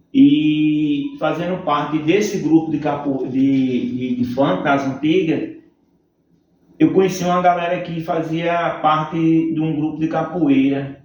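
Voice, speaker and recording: Audible room echo surrounds a man with a fairly high pitch and ordinary pitch variation. He talks at a very slow pace. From Northeast Brazil (Campina Grande, Paraíba; also Fortaleza). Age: 40s. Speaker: capoeira instructor. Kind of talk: interview.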